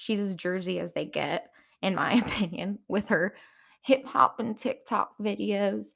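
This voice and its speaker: Putting on a raspy character voice, a woman talks at a moderate pace and a medium pitch. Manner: playful, mocking.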